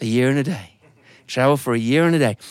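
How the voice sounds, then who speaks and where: Speaking at a very fast pace with an English accent, a man sounds animated and shows ordinary pitch variation. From England. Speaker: storyteller. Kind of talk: live storytelling performance. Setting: studio with live audience. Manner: animated, acts out characters' hesitant voices.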